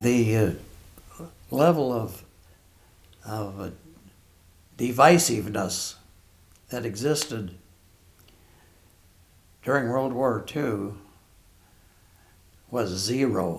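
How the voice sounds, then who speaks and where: A man with a Western US accent speaks at medium pitch with ordinary pitch variation. His pace is very slow, broken by long, frequent pauses. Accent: Western American. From Billings, Montana. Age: 80s+. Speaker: war veteran. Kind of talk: interview answer.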